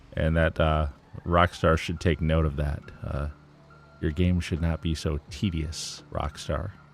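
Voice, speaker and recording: With music in the background, a man speaks at a fairly slow pace in a very deep, low pitch with monotone, flat intonation. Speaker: gaming livestreamer. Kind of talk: gameplay livestream commentary. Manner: casual, hesitant with fillers.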